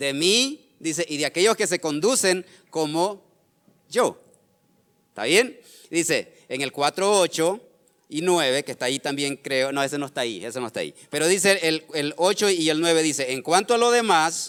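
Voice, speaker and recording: A man with a high pitch speaks with lively intonation at a moderate pace. Long, frequent pauses break up his speech. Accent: Nicaraguan. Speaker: pastor. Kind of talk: sermon. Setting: church service streamed online. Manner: halting, frequent repetitions.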